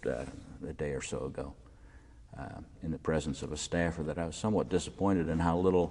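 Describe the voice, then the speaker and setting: A man with an American accent talks at a fairly quick pace in a very deep, low pitch with ordinary pitch variation. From Maryland, US. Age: 60s. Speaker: local politician and former journalist. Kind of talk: oral history interview. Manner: halting with frequent fillers.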